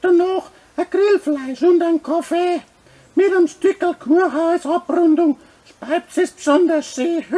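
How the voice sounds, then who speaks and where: A man speaks in a cartoonish character voice at a fairly slow pace. His pitch is extremely high. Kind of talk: comedic puppet skit advertising a brewery festival. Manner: rhyming, jolly.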